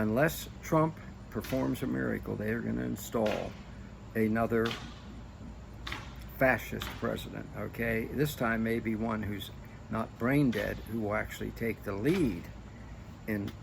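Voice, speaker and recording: A man with an American accent speaks at a fairly slow pace, taking long, frequent pauses. Audible room echo surrounds his voice. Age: 70s. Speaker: political commentator. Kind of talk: political monologue. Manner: animated.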